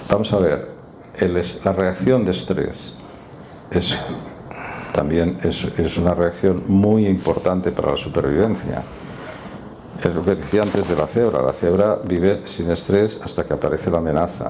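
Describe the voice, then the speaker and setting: A man speaks at a fairly slow pace with long, frequent pauses, his very deep, low pitch showing ordinary variation. His loudness stays very even over noticeable background noise. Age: 60s. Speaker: doctor giving talk on stress and neuropsychiatry. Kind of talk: public talk and discussion.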